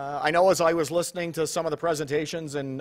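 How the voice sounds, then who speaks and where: Very fast speech from a man over a quiet background. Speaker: conference host. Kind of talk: opening remarks to conference audience. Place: hall. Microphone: podium.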